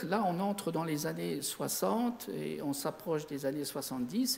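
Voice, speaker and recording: Speaking at a moderate pace, a man with a high pitch talks with a slight Lorraine accent. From Lorraine, Sarreguemines (Moselle). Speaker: amateur astronomer. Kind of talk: lecture. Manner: halting.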